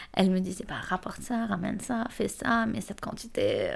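A woman speaks at a fairly slow pace. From Lebanon. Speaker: student. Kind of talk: casual chat.

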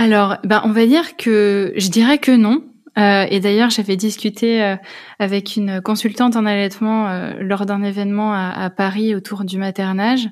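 A woman speaks fairly slowly at a medium pitch. Her intonation is fairly even, and the recording is very clean with a silent background. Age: 20s. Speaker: personal development coach and mother. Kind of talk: testimony. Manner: hesitant, many fillers.

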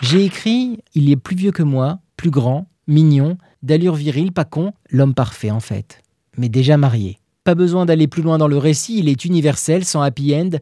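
A man speaks at a fairly slow pace with a fairly high pitch, a dark, mellow tone, a playful tone and lively intonation, in a dry, close recording with no echo. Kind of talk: literary audiobook reading. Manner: wry and tender, humorous first-person diary reading with playful irony.

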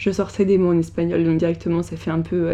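A woman's dark, mellow voice carries ordinary pitch variation. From France. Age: 20s. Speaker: podcast host, trainee journalist. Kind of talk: personal testimony. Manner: hesitant, with fillers.

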